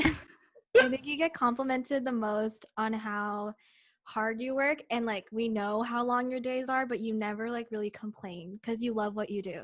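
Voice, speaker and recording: At a moderate pace, a woman speaks in an unremarkable speaking voice, fairly high in pitch with fairly even intonation. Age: 20s. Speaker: podcast co-host. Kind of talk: casual chat.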